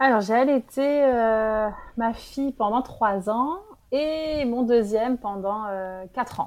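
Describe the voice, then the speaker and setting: Against a quiet background, a woman speaks at a very slow pace. Her pitch is fairly high, with ordinary variation. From France. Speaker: early childhood professional. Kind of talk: interview. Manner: halting.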